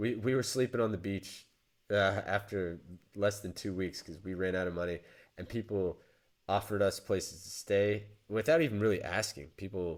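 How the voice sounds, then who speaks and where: A man with an American accent speaks at a moderate pace in a fairly low voice, using ordinary pitch variation and long, frequent pauses, on a very clean recording with a silent background. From United States. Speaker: podcast co-host. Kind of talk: casual chat. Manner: halting, many restarts.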